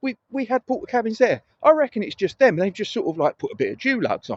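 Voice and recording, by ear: The dry, close sound carries no echo as a man speaks at a moderate pace. His pitch is high, with very wide swings.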